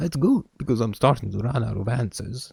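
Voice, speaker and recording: Putting on a strained, guttural character voice, a man speaks fairly quickly at a medium pitch. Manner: gruff.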